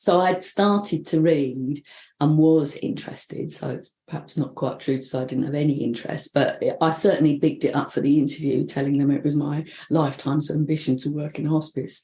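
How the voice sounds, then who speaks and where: A woman with a very deep, low pitch and a dark, mellow tone, at a fairly quick pace. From London. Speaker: bereavement counsellor. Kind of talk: interview. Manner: casual, animated.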